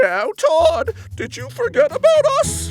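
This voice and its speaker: Over faint background music, a man uses a put-on character voice at a fairly slow pace. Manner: gently scolding.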